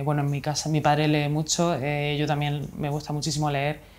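This woman has a very deep, low pitch. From Spain, Murcia region (Mula); Murcia, Spain. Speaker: illustrator and author; interviewee. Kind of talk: interview. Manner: halting, many fillers. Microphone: lapel.

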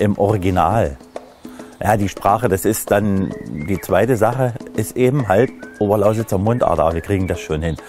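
A man speaks at a fairly low pitch. Clear music plays behind him. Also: ordinary pitch variation, moderate pace, dry sound with no echo. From Upper Lusatia, Saxony, Germany. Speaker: presenter. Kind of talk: casual talk to camera. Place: garden. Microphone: lapel.

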